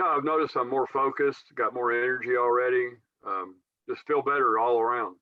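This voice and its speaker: This man uses a plain, everyday voice at a medium pitch. He talks at a fairly quick pace with ordinary pitch variation. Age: 60s. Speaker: customer giving testimonial. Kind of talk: testimony.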